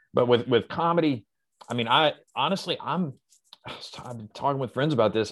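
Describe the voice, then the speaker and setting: A man with an American accent speaks in an unremarkable speaking voice at a moderate pace. His intonation is lively, and the background is quiet. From US South. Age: 40s. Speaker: comedian. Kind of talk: casual chat.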